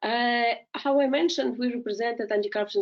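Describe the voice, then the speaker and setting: A woman in a Russian accent talks at a very fast pace with a fairly high pitch. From Ukraine. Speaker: legal scholar and policy analyst. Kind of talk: webinar presentation. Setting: online webinar. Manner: halting, many fillers.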